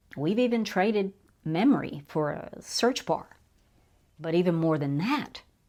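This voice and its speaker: The recording is very clean, with a silent background. A woman speaks at a fairly slow pace with lively intonation. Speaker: YouTube commentator. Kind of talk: casual monologue.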